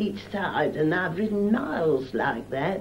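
A woman talks fairly slowly with lively intonation while noticeable background noise runs behind her. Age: 80s+. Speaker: retired seamstress. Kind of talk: oral history interview answer. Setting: 1978 film recording.

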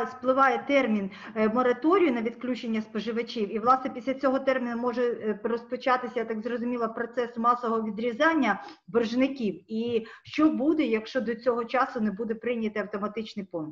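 Over a quiet background, a woman with a high pitch talks at a moderate pace with fairly even intonation. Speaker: journalist. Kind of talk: press briefing questions. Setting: video call. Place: home room. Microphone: webcam.

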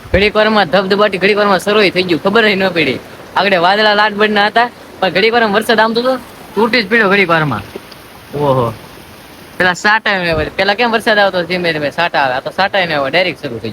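A man's high-pitched, raised, projected voice carries ordinary pitch variation over noticeable background noise. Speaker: village vlogger. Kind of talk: casual vlog talk to camera. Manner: animated.

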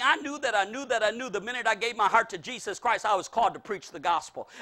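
Projecting a raised voice over a quiet background, a man talks at a very fast pace with hardly any pauses, in an extremely high pitch and an animated tone. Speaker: preacher. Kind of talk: sermon. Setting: church. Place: hall.

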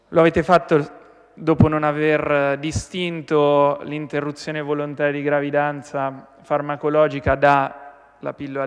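A man speaks in a fairly high pitch. The background is quiet. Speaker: regional councillor. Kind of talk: parliamentary question time, opposition attack. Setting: regional assembly chamber. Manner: indignant, forceful; accusatory, rhetorical. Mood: critical, combative. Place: hall. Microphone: podium.

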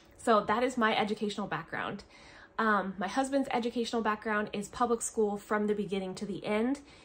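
A woman with an American accent speaks at a fairly quick pace, with a fairly high pitch and fairly even intonation. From US Pacific Northwest. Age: 30s. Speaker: homeschooling mother and family vlogger. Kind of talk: casual vlog monologue. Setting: at home, filming a video. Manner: chatty, with frequent fillers. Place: home room. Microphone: phone near.

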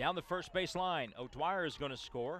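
Lively intonation marks this man's fairly high voice, which carries vocal fry. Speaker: baseball play-by-play announcer. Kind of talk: live sports commentary, calling baseball plays. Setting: highlight video of a college baseball game.

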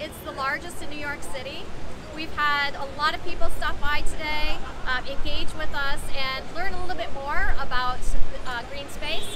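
Over crowd noise in the background, a woman speaks at a moderate pace with ordinary pitch variation. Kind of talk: interview answer. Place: street.

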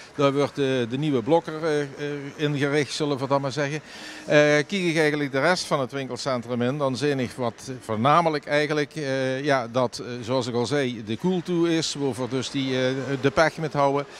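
The recording is dry with no echo and light background noise as a man talks at a moderate pace. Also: fairly even intonation. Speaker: local TV reporter. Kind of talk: on-location news report. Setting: outdoors at shopping centre. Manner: casual, halting with fillers. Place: market. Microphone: handheld.

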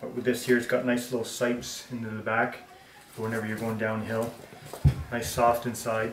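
A man speaks at a medium pitch and moderate pace, with monotone, flat intonation and a fairly bright tone. The room echo is audible.

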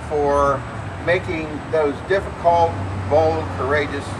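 Noticeable background noise surrounds a man who talks at a very slow pace. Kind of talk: rally speech. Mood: critical, measured. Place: street. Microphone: camera far.

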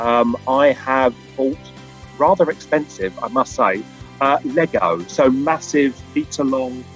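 A man speaks with ordinary pitch variation in a dry recording with no echo, while faint music plays in the background. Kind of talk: interview answer. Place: hall. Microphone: video call.

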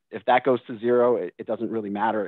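In an American accent, a man talks at a very fast pace with fairly even intonation, the sound dry with no echo and the background quiet. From Massachusetts, Boston; Massachusetts. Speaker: financial planner; panelist. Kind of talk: panel discussion. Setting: video call. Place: office. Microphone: video call.

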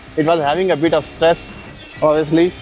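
Faint background music behind a man's moderate-paced speech, dry sound with no echo. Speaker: drone reviewer. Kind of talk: casual commentary while testing. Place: open country. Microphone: lapel.

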